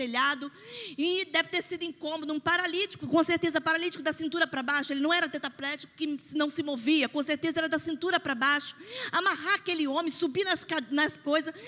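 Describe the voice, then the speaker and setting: In a raised, projected voice, a woman speaks at a fairly quick pace in an extremely high pitch, her tone bright and sharp, with ordinary pitch variation. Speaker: pastor. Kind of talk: sermon. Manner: animated.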